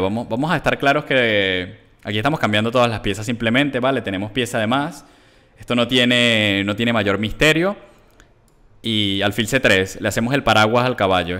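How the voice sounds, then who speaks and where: Animated speech at a fairly quick pace, with ordinary pitch variation and a quiet background. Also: man. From Venezuela. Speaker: chess grandmaster streamer. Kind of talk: chess commentary while playing live. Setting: live stream with chat. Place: home room. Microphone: headset.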